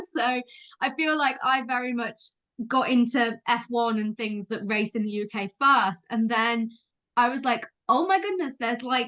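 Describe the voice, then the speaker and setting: At a moderate pace, a woman with a British accent speaks in a high, bright, sharp voice with ordinary pitch variation. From UK. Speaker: podcast host. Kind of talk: casual chat.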